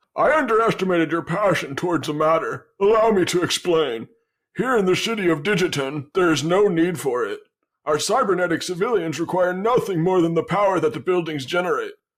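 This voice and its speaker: A man puts on a character voice. It is high and moves at a fairly quick pace. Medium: actual play. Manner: courteous, smooth.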